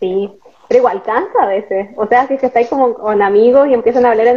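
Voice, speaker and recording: Woman's high-pitched voice at a fairly quick pace over noticeable background noise. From northern Chile (Atacama). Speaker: podcast host. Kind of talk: casual interview chat.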